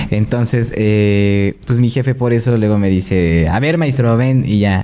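Dark and mellow in tone, a male voice with normal pitch movement and a rather unhurried delivery. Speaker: podcast co-host. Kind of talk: casual chat.

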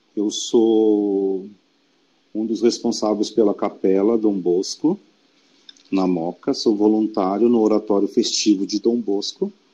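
A man's dark, mellow tone, fairly low in pitch, monotone and flat, at a very slow pace. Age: 40s. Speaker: educator and church volunteer. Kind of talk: casual interview.

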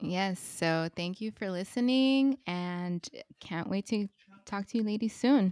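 Speaking at a fairly slow pace with an American accent, the voice is an unremarkable speaking voice with ordinary pitch variation and a dry, close sound with no echo. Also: woman, medium pitch for a woman. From US West Coast, Los Angeles. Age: 30s. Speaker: podcast host, mother. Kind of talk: casual chat.

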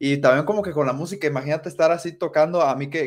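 The speaker talks at a very fast pace with a Mexican accent. Pitch variation is ordinary. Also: man. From Mexico, coastal region. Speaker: podcast host. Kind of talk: casual interview.

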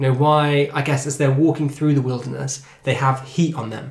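A fairly high-pitched man with an English accent. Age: 20s. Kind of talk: casual chat.

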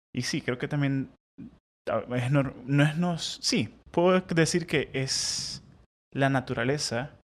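A man's voice with ordinary pitch variation. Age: 30s. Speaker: podcast co-host. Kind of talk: casual chat; sermon.

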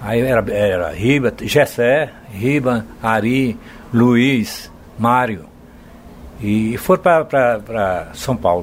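Pausing long and often, a man speaks at a very slow pace with medium pitch and ordinary pitch variation. Background noise is noticeable. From Bahia, Brazil. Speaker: singer-songwriter. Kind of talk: interview, storytelling.

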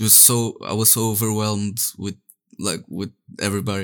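Speaking with a Portuguese accent, a man uses a fairly low pitch and fairly even intonation at a fairly quick pace. The recording is very clean, with a silent background. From Portugal. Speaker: 3D artist and NFT project co-founder. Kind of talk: casual interview.

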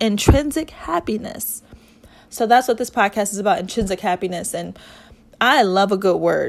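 A woman speaks in an ordinary speaking voice at a medium pitch. Her pace is moderate and her pitch variation ordinary. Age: 30s. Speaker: podcast host. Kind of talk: solo podcast monologue. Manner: conversational with frequent fillers.

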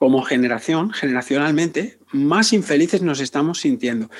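In a normal speaking voice, a man talks at a fairly high pitch with lively intonation. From Spain, Barcelona outskirts. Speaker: psychotherapist. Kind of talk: interview.

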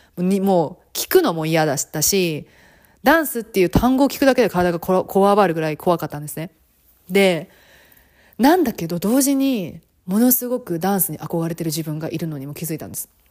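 A woman with a fairly low pitch, an animated tone, and lively intonation at a fairly quick pace, her loudness swinging widely, on a very clean recording with a silent background. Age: 30s. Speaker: podcast host and flight attendant. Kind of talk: casual monologue.

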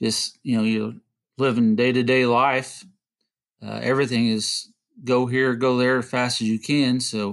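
A man speaks against a quiet background. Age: 40s. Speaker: HVAC technician. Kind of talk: casual interview chat. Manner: hesitant, many fillers.

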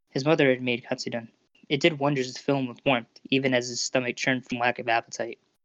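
Fairly even intonation in an unforced reading voice, quiet background behind it

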